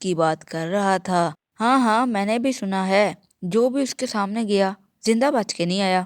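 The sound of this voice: An unforced reading voice with ordinary pitch variation over a quiet background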